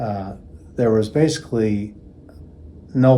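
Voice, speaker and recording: Through audible room echo, a man with a fairly low pitch and a dark, mellow tone speaks with fairly even intonation. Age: 60s. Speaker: patient. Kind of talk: testimony. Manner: halting, with frequent fillers.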